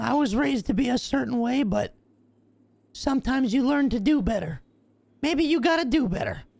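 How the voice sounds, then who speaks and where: This is a put-on character voice, high in pitch and at a fairly quick pace. Long, frequent pauses run through it. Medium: game stream. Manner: blunt, sarcastic.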